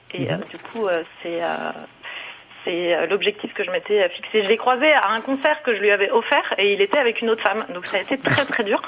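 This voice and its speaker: A woman talks fairly quickly with lively intonation as noticeable noise fills the background. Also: medium pitch for a woman. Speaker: caller. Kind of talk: testimony. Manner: cheerful.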